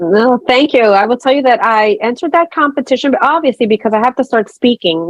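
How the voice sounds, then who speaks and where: With a dry, close sound and no echo, a woman talks at a fairly quick pace in a fairly high pitch with lively intonation. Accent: American. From New York City (Brooklyn). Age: 50s. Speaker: nurse. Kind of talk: interview. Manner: unscripted, conversational.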